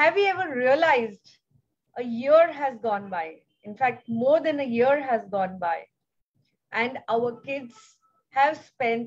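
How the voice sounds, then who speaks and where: Speaking at a very slow pace with an Indian accent, a woman uses a high pitch and lively intonation. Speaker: foundation founder. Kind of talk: speech. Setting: video call.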